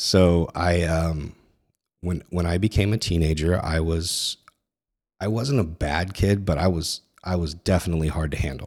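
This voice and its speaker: A man with an American accent speaks at a moderate pace in a very deep, low voice, his intonation fairly even, on a very clean recording with a silent background. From Northern California. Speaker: Marine veteran, former security leader. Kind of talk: testimony.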